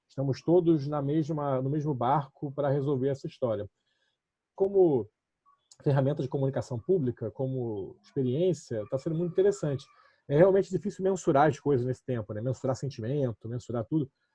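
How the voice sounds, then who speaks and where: Fairly high-pitched and somewhat breathy, a man talks at a fairly quick pace with ordinary pitch variation. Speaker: municipal communications official. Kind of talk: online panel discussion. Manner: fast.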